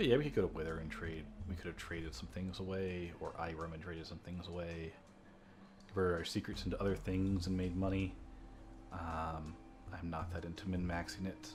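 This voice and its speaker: Speaking at a fairly quick pace, a man with a very deep, low pitch sounds somewhat breathy, with audible room echo. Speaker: let's play gamer. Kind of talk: gameplay commentary. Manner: flat, little inflection.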